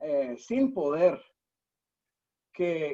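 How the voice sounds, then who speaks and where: Lively intonation from a man at a fairly high pitch. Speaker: nonprofit founder and CEO. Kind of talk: webinar interview. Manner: many hesitations and repeated words.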